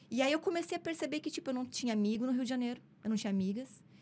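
With very wide pitch swings, a woman talks at a fairly high pitch. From southern Brazil, Novo Hamburgo, Rio Grande do Sul. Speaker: actress and comedian. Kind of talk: casual interview storytelling. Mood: candid personal storytelling. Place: studio. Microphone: studio mic.

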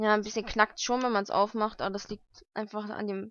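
A woman at a medium pitch speaks at a fairly quick pace in a fairly bright tone, with little pitch movement.

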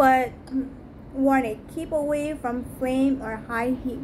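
A woman speaks slowly at a high pitch, her tone slightly mellow. Her intonation is fairly even.

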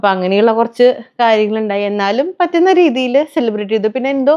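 A woman speaks in a dark, mellow tone. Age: 30s. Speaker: family vlogger. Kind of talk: casual vlog monologue.

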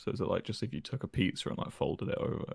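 Putting on a character voice, a man talks at a very fast pace, sounding gruff and raspy. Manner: put-on gruff voice.

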